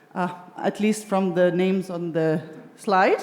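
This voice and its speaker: Over noticeable background noise, a woman with a Lithuanian accent talks at a fairly slow pace. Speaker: discussion moderator. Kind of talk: panel discussion moderation. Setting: stage with live audience at arts venue.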